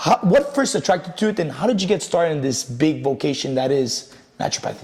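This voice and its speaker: Very fast, fairly high-pitched male speech with a French accent and very wide pitch swings, over noticeable background noise. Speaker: personal trainer and podcast host. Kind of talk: podcast interview.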